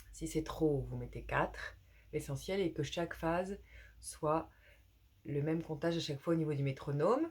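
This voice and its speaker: This woman keeps a moderate pace, broken by long, frequent pauses. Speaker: yoga teacher. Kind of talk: guided yoga class. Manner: soft-spoken; calm, hesitant with fillers.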